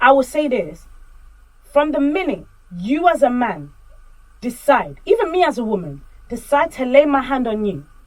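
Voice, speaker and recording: Loud and high-pitched, a woman speaks at a moderate pace with very wide pitch swings and long, frequent pauses. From Congolese community. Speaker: podcast co-host. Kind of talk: casual chat. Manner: animated.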